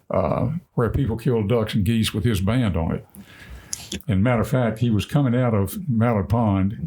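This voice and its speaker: A man speaks at a moderate pace with a medium pitch. His loudness stays very even over noticeable background noise. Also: ordinary pitch variation. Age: 70s. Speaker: podcast guest, retired duck hunter. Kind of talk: casual chat, storytelling.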